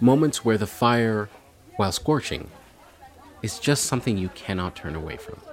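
A man's medium-pitched voice with a Canadian accent and lively intonation, at a moderate pace, with long, frequent pauses, big swings in loudness and noticeable background noise. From Canada. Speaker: podcast host. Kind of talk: casual interview; scripted narration.

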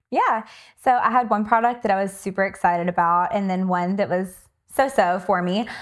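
Speaking at a fairly quick pace, a woman uses a plain, everyday voice with a medium pitch and ordinary pitch variation. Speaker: nurse practitioner. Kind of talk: casual chat.

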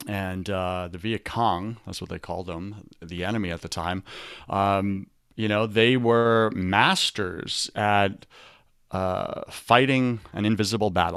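Over a silent background in a very clean recording, a man with a Long Island accent speaks at a fairly slow pace in a fairly low pitch. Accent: New York (Long Island). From Long Island, New York. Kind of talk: motivational talk with faith content. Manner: animated, preacher-like.

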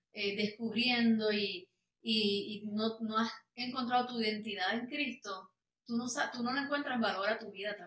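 A bright, sharp tone carries fairly even intonation at a fairly slow pace. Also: woman. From Puerto Rico. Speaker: worship singer. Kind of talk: testimony interview.

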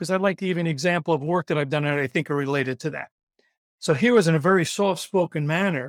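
A very fast, fairly high-pitched man with a New York accent, ordinary pitch variation and a dry, close sound with no echo. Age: 70s. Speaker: recruitment consultant. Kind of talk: podcast interview. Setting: video call. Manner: fast talker.

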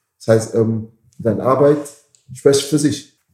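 His tone is dark and mellow, a little breathy, as the man speaks with ordinary pitch variation. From Caribbean. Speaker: bouncer and security business owner. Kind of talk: interview conversation. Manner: halting.

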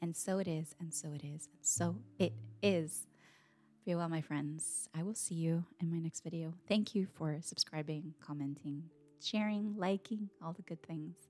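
Against music in the background, a woman with a fairly low pitch talks with big swings in loudness. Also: ordinary pitch variation. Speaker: meditation guide and coach. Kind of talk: guided meditation, gentle and unhurried, with soft drumming. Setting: home recording with a drum. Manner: soft-spoken; slow, soothing, calm.

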